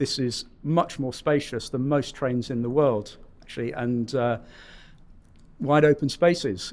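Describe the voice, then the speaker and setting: Fairly slow and at a medium pitch, a man talks in a British accent with ordinary pitch variation. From United Kingdom. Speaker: rail customer experience executive. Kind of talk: podcast interview.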